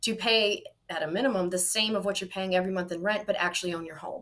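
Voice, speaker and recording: A woman with an American accent speaks in a plain, everyday voice at a medium pitch, with ordinary pitch variation and a fairly quick pace. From Mississippi, US South. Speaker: political candidate. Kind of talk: interview.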